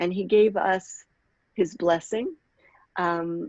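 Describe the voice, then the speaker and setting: A woman speaks at a medium pitch with fairly even intonation. She has an ordinary speaking voice. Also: dry, close sound with no echo. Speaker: rabbi and workshop facilitator. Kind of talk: online workshop talk.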